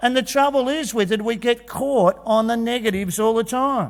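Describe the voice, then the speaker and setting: An Australian accent marks this man's high-pitched, animated delivery. He keeps a moderate pace with ordinary pitch variation. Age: 60s. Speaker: teacher and conference presenter. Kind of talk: motivational talk. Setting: stage with audience.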